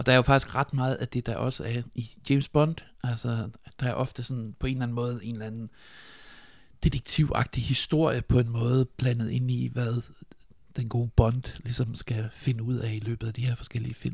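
A man speaks at a medium pitch and a moderate pace. His voice is somewhat breathy, with fairly even intonation. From Denmark, Funen (Nyborg). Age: 40s. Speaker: sound designer. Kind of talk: casual chat.

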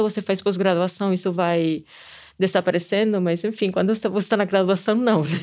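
A woman with a Spanish accent against a quiet background. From Spain. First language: Spanish (speaking Portuguese). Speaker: anthropology professor and museum director. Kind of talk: interview testimony. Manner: hesitant with repetitions.

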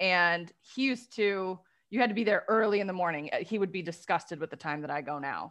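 Over a quiet background, a woman with a Midwestern American accent talks at a fairly quick pace with medium pitch and ordinary pitch variation. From Detroit area, Michigan. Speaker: life coach for lawyers. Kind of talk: casual interview.

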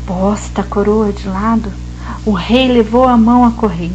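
A woman talks at a fairly slow pace. Music plays in the background, and the room echo is audible. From São Paulo interior, Vale do Paraíba. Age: 40s. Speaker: art teacher and storyteller. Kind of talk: storytelling.

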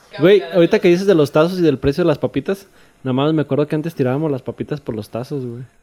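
Very fast and fairly high-pitched, this man's voice has a dark, mellow tone and a dry, close sound with no echo. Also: ordinary pitch variation. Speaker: podcast guest. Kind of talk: casual chat. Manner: soft-spoken.

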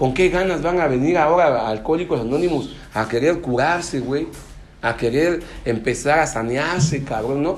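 With audible room echo, a man speaks at a moderate pace in a fairly high pitch, using ordinary pitch variation. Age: 30s. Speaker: recovering alcoholic speaker at AA meeting. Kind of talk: testimony talk at support group meeting. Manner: casual, slang-heavy, animated.

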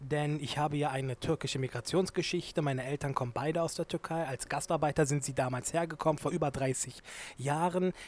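A man talks with fairly even intonation and a fairly high pitch. The recording is very clean, with a silent background. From Germany, Turkish family. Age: 20s. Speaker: law student and activist. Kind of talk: interview. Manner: hesitant, many fillers.

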